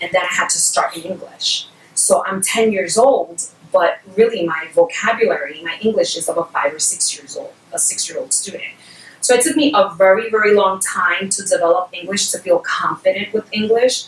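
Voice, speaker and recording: A woman with a Spanish accent at a moderate pace, her loudness swinging widely amid noticeable background noise. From Puerto Rico, moved to New York City at about 5 or 6. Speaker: bilingual education specialist. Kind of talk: educational webinar talk.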